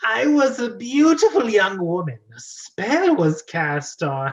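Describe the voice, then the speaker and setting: A man's put-on character voice, high-pitched, fairly slow, with very wide pitch swings. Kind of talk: comic overacting. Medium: read story. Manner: flirtatious, coquettish, humming before lines.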